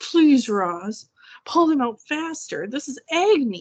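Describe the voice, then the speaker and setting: Using a put-on character voice, a woman talks at a fairly slow pace in a high pitch with very wide pitch swings. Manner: pained, through gritted teeth.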